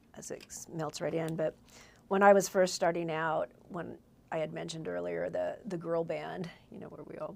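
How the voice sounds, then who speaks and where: A woman with a Californian accent speaks at a moderate pace. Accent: Californian American English. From Southern California, Whittier. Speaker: singer-songwriter. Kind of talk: casual chat.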